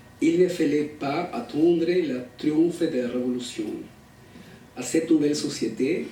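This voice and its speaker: A man speaks at a fairly slow pace. Room echo can be heard around him. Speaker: academic researcher. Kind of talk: conference talk, reading prepared text. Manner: halting.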